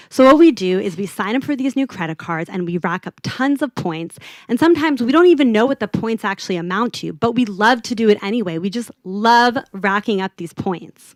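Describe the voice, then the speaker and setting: Talking at a fairly quick pace, a woman with a Southern California accent uses lively intonation. The sound is dry and close, with no echo. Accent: American, LA Valley Girl, slightly tamed. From US, California (Los Angeles). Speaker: UX designer. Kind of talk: conference talk. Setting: stage with audience. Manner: casual, conversational.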